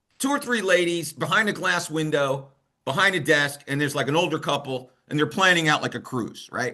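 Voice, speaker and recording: With an American accent, a man speaks at a fairly quick pace in a bright, sharp tone, his fairly high pitch showing ordinary variation. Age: 60s. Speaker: finance and bitcoin mining expert. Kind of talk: interview. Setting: video call.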